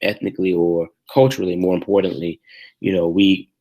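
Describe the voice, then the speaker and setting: On a very clean recording with a silent background, a man speaks at a very deep, low pitch with a dark, mellow tone. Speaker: life and business coach. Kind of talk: video talk giving tips. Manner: loud when stern; hesitant, many fillers.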